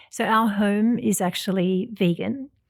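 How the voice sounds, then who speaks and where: A woman with an Australian accent and fairly even intonation, in a very clean recording with a silent background. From Australia, Sydney. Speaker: vegan chef and cookbook author. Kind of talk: interview.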